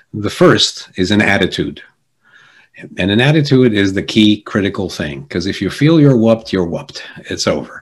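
With an American accent, a man uses a plain, everyday voice at a fairly low pitch, speaking at a moderate pace with lively intonation. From Jersey City, New Jersey. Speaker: executive coach and keynote speaker. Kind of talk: interview conversation.

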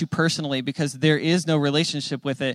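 With an American accent, a man speaks in a plain, everyday voice at a fairly high pitch, his intonation fairly even and the sound dry and close with no echo. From Phoenix, Arizona. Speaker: speaker at men's recovery group. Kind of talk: testimony talk.

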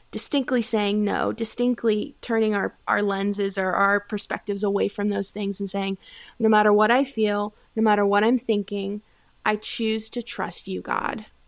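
At a moderate pace, a woman with an unremarkable speaking voice talks at a medium pitch with fairly even intonation, in a very clean recording with a silent background. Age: 20s. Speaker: life coach. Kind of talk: casual chat.

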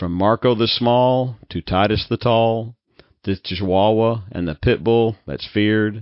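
A man's fairly low voice, a plain, everyday voice, at a fairly slow pace with ordinary pitch variation. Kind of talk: children's poem reading aloud, rhyming verse. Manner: sing-songy, rhythmic, lilting cadence; warm, playful, storyteller delivery with light laughs.

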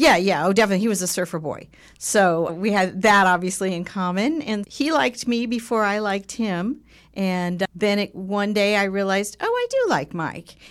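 A plain, everyday voice with an American accent, ordinary pitch variation and a moderate pace, in a very clean recording with a silent background. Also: woman, medium pitch for a woman. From Southern California. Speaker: podcast co-host. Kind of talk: casual chat. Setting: studio.

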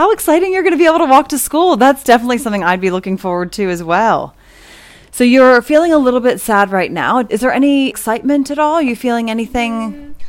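A woman's high voice, very fast, with very wide pitch swings and noticeable background noise. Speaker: podcast co-host, parent. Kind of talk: casual interview with children.

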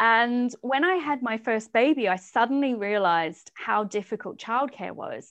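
Against a quiet background, a woman with a New Zealand accent speaks at a moderate pace with hardly any pauses, her fairly high pitch moving in lively intonation. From New Zealand, rural South Island. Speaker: startup founder and CEO. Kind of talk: interview.

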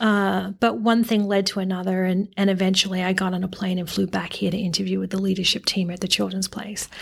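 Hardly any pauses break a woman's very fast, somewhat breathy delivery, given in an Australian accent with monotone, flat intonation. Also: medium pitch for a woman. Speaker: retail executive. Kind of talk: interview.

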